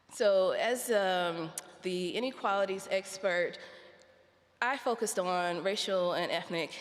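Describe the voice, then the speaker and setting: In a room with audible echo, a woman with an American accent speaks at a medium pitch with ordinary pitch variation. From United States. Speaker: researcher on health inequalities. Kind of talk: conference talk.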